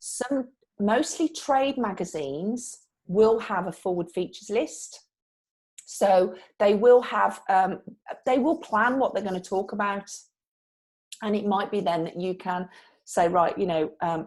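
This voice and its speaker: With a Brummie accent, a woman of medium pitch speaks at a fairly slow pace with lively intonation and long, frequent pauses. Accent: Brummie (Birmingham). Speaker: PR trainer. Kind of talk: live online training session. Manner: conversational, with false starts.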